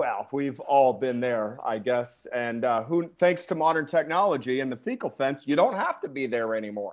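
A man's unremarkable speaking voice, medium in pitch, with lively intonation, a moderate pace and hardly any pauses. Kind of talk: casual chat. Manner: crude, joking.

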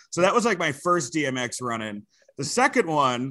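A man speaks with a New York accent in a bright, sharp tone. The background is quiet. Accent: New York area American. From New Jersey and Westchester, New York. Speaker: comedian and wrestling commentator. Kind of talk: casual chat.

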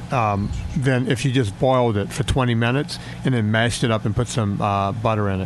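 Over music in the background, a man speaks at a fairly quick pace with a medium pitch, ordinary pitch variation and very even loudness. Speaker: fitness and nutrition coach. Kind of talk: casual chat. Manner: animated.

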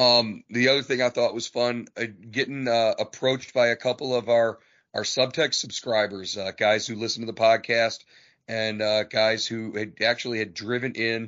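A man's speech is monotone and flat in intonation, medium in pitch, and moderate in pace. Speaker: sports writer, podcast host. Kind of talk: casual chat. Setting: podcast recording.

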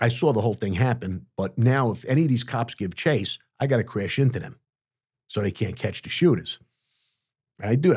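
A man with a New York accent, medium pitch, ordinary pitch variation and a somewhat breathy voice, fairly quick yet with long, frequent pauses, on a very clean recording with a silent background. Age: 60s. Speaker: former mob hitman. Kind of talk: interview storytelling. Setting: studio. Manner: animated.

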